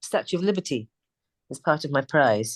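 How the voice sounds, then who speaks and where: With a British accent, a woman talks at a fairly quick pace in a dry, close recording with no echo and a quiet background. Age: 60s. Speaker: singer. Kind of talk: interview. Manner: casual.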